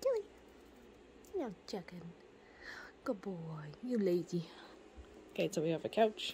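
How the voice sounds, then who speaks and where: A woman's somewhat breathy voice carries a dark, mellow tone, broken by long, frequent pauses. Light background noise sits underneath. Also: medium pitch for a woman, ordinary pitch variation, moderate pace. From Canada. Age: 20s. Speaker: vlogger. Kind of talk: casual home tour vlog. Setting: at home. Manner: casual, chatty. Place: home room. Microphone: phone near.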